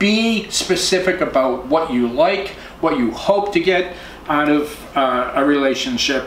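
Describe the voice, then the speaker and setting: Very wide pitch swings in an American accent at a fairly slow pace, with audible room echo and noticeable background noise. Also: man. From Boston area, US. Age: 60s. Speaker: professional photographer giving dating advice. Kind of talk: casual tutorial. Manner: casual, halting with fillers.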